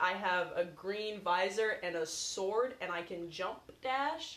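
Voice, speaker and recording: A woman with an ordinary speaking voice, medium in pitch, with ordinary pitch variation. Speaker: podcast co-host. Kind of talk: casual chat.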